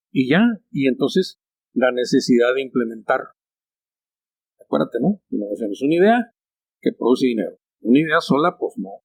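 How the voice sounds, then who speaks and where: Recorded dry and close with no echo, a man of medium pitch speaks at a moderate pace, making very wide pitch swings and long, frequent pauses. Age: 70s. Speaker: architect and company founder. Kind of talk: interview conversation. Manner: halting.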